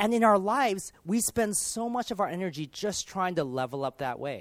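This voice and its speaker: On a very clean recording with a silent background, a man with a Californian accent talks high in pitch, his voice swinging very widely. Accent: Californian American. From US, Los Angeles. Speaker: pastor. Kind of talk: sermon.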